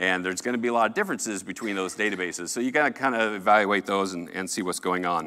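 A man speaks with a General American accent and a bright, sharp tone. The recording is very clean, with a silent background. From Colorado. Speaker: software developer. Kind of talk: conference talk. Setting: stage with audience.

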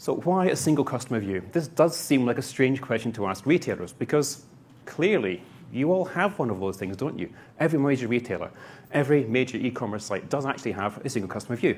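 The intonation here is lively. The pace is very fast. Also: man, medium pitch for a man. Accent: Scottish. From Scotland. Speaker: conference speaker, solution architect. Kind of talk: presentation, conversational.

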